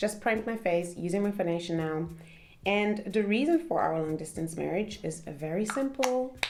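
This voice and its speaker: Her pitch medium and her intonation lively, a woman speaks at a moderate pace. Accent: German. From Germany. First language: German. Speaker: content creator. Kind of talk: casual chat. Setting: at home.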